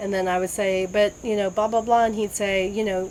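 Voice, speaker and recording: A woman talks at a very fast pace with fairly even intonation amid noticeable background noise. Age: 60s. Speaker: cancer patient sharing her story. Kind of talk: testimony.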